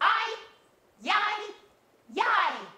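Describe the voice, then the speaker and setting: An extremely high, squeaky put-on character voice rings out with a slight echo. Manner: punchy, one word per punch.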